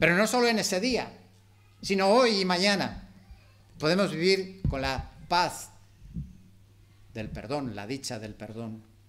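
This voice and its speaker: A man speaks at a fairly slow pace in a high pitch, taking long, frequent pauses. His pitch swings very widely, and room echo is audible. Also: big swings in loudness. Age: 60s. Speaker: preacher. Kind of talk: sermon.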